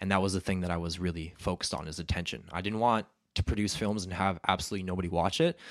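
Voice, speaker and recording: Speaking at a very fast pace, a man with a Western Canadian accent uses a very deep, low pitch and fairly even intonation. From Canada (Alberta). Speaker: videographer and entrepreneur. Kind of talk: podcast interview.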